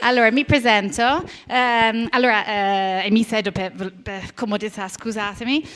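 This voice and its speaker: A woman speaks with a strong English accent at a fairly slow pace. Her pitch is fairly high. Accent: strong English accent in Italian. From Britain. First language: English (speaking Italian). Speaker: heritage management expert and lecturer. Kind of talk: conference talk. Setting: conference hall with audience, seated. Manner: halting, many fillers.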